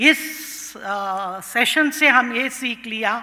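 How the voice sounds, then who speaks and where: A woman with a Tamil accent has a bright, sharp tone and ordinary pitch variation. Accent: Tamil-accented Hindi and Indian English. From Tamil Nadu, India. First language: Tamil (speaking Hindi). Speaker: professor of international politics. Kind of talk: conference speech. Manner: code-switching Hindi and English, with hesitations.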